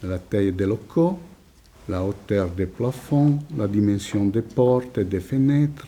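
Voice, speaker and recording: In an Italian accent, a man talks at a very slow pace with a dark, mellow tone, fairly low pitch and ordinary pitch variation. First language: Italian (speaking French). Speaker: psychoanalyst, lecturer. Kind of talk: lecture. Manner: reading a prepared text.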